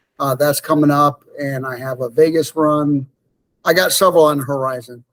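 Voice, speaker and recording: A man talks in a plain, everyday voice with fairly high pitch. His intonation stays fairly even. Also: moderate pace. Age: 50s. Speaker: retired air force, run coach. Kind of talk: casual chat.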